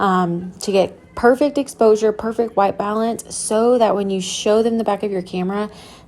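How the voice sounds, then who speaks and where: With a normal speaking voice, a woman talks at a moderate pace, her medium pitch carrying fairly even intonation. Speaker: photography educator. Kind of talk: tutorial voiceover.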